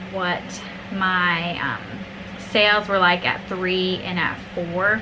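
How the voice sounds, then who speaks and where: A woman with a medium pitch is heard amid noticeable background noise and audible room echo. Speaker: small business owner and vlogger. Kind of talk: tutorial. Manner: loud.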